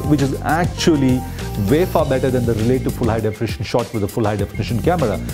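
Over clear music in the background, a man talks at a very fast pace. His pitch variation is ordinary. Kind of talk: interview answer. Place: hall.

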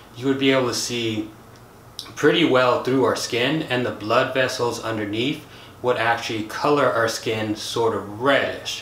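A man with an American accent at a fairly slow pace, fairly even intonation, audible room echo and light background noise. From United States. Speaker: science YouTuber. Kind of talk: educational video monologue. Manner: casual, conversational. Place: home room.

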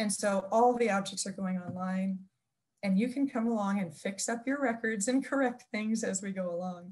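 The somewhat breathy voice keeps a moderate pace and ordinary pitch variation. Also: woman. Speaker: museum information professional. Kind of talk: oral history interview. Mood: friendly, reflective, smiling. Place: home room. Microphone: video call.

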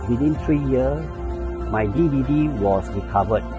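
With clear music in the background, a man talks at a moderate pace in a dry sound with no echo. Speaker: customer testimonial. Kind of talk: testimonial interview answer. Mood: earnest, motivational. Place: garden. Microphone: lapel.

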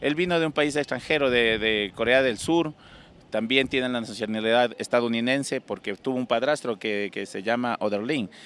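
A man speaks at a moderate pace with ordinary pitch variation, and the sound is dry with no echo. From Ecuador, Loja (El Cisne); Ecuador. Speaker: singer; interviewee. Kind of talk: interview. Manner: halting. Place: street. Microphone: handheld.

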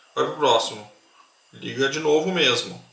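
A man speaks at a fairly quick pace, with audible room echo and noticeable background noise around him. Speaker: electronics tutorial youtuber. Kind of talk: tutorial.

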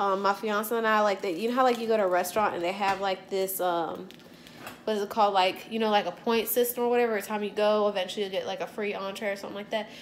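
Light background noise accompanies a woman speaking with fairly even intonation. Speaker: home cook vlogger. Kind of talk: casual vlog chat. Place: kitchen. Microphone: phone near.

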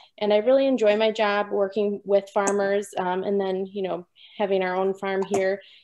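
With an Upper Midwest accent, a woman speaks at a moderate pace and medium pitch in a dark, mellow tone with flat, monotone intonation. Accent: Upper Midwest American. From southern Wisconsin. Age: young. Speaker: new mother and dairy farmer. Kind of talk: personal testimony. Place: home room. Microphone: video call.

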